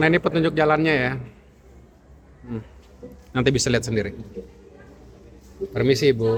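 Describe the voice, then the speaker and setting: A man with an Alor accent talks at a very fast pace with ordinary pitch variation. Long, frequent pauses break up his speech, and there is noticeable background noise. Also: medium pitch for a man. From Alor, East Nusa Tenggara, Indonesia. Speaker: video host / presenter. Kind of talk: casual walkthrough vlog.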